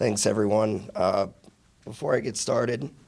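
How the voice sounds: A man's raspy, hoarse, croaky put-on character voice at medium pitch, moderate pace, with fairly even intonation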